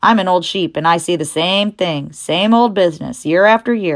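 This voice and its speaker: A female-sounding, raspy put-on character voice at a medium pitch comes through a very clean recording with a silent background. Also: moderate pace. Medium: read story. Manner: blunt, snappish.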